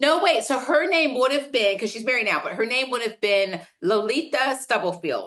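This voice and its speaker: Speaking at a moderate pace with hardly any pauses, a woman uses a high pitch, lively intonation and an animated tone. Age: 60s. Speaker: business executive and keynote speaker. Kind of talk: casual interview chat.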